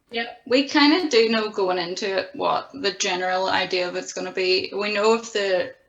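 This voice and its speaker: Talking with hardly any pauses, a woman with a strong Belfast accent shows ordinary pitch variation. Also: medium pitch for a woman, moderate pace. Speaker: punk band musician. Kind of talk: casual interview.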